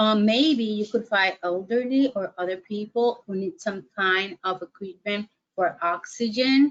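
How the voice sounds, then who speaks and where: This woman talks at a very slow pace with a non-native accent. Her pitch sits fairly high. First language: Spanish. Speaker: webinar presenter on mental health. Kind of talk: webinar lecture. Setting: online webinar. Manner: hesitant, many fillers.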